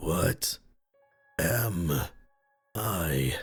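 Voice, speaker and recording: Over faint music in the background, a man uses a put-on character voice with a very deep, low pitch. The voice is raspy and strained. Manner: unnatural pronunciation.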